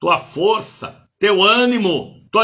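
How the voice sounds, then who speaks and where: A raised, projected voice with a bright, sharp tone speaks at a very slow pace. The intonation is lively. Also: man. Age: 70s. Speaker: bishop and preacher. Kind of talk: sermon. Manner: animated.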